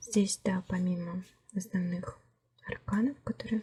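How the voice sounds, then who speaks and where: Speaking at a fairly slow pace, a woman keeps her intonation fairly even and her voice somewhat breathy. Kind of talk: tarot deck review, casual talk to camera. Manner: soft-spoken.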